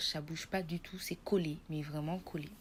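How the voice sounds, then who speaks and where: A woman's voice, fairly low in pitch, stays monotone and flat in its intonation. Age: 20s. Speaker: nursing student giving patient testimony. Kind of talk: testimony.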